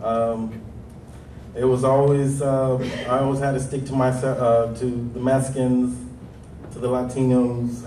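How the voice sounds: A man's dark, mellow voice with an American accent, in a room with audible echo.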